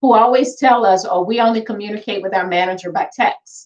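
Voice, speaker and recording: Here is a woman with a fairly high voice. Her intonation is lively. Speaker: housing voucher program director. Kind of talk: webinar presentation. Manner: soft-spoken; direct.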